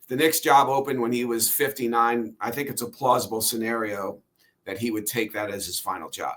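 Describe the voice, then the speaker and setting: A man with an unremarkable speaking voice, fairly even intonation and medium pitch. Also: fairly quick pace. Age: 60s. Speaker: author and sportswriter. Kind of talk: interview.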